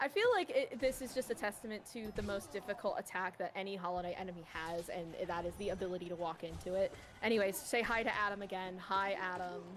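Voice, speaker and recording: Animated in tone, a woman talks at a very fast pace with hardly any pauses as music plays in the background. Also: medium pitch for a woman, ordinary pitch variation. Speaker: speedrun race commentator. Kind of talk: live commentary. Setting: livestream. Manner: casual, animated.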